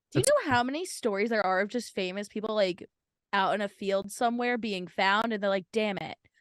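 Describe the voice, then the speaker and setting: A woman's medium-pitched voice with a slight New Jersey accent, fairly quick delivery and ordinary pitch variation, dry and close with no echo against a quiet background. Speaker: podcast co-host. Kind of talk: casual chat.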